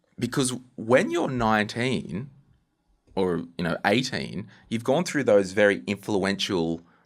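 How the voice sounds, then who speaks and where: A man with an Australian accent speaks fairly slowly at a fairly low pitch with lively intonation, in a very clean recording with a silent background. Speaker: podcast host. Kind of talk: interview.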